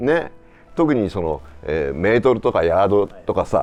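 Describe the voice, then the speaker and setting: Fairly quick speech over music in the background. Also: man. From Japan. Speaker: voice actor, actor, narrator. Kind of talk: casual conversation.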